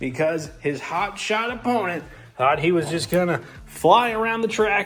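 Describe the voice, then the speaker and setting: A man talks at a moderate pace and with lively intonation while music plays in the background. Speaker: diecast racing commentator. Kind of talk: live race commentary. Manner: animated; stumbling over words.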